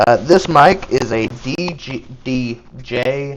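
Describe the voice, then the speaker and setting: Here a man speaks with a Southern US accent. His pitch varies in an ordinary way. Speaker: card game streamer. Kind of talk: live gameplay commentary. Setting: live stream. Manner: casual, chatty.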